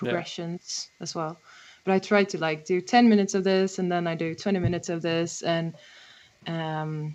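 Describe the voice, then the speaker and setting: A woman with a Swedish accent speaks at a fairly low pitch and a moderate pace. Her intonation is fairly even, and the background is quiet. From Sweden. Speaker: harmonica player and songwriter. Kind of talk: casual interview chat. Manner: halting with many fillers.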